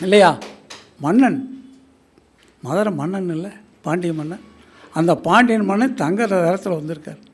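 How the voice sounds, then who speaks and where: With big swings in loudness and audible room echo, a man speaks in a high voice with ordinary pitch variation. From Tamil Nadu, Erode area. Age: 70s. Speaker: astrologer. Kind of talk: speech at astrology gathering. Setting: stage with audience.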